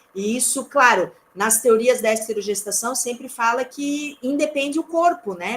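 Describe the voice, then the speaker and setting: A woman speaks in a normal speaking voice at a fairly high pitch. Her pitch variation is ordinary. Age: 40s. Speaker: lecturer. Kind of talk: lecture.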